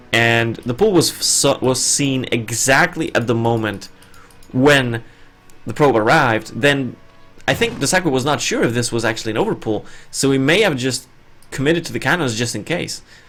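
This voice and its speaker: A man with a non-native accent talks at a moderate pace and a medium pitch, with ordinary pitch variation and music in the background. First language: not English. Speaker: esports caster. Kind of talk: live commentary.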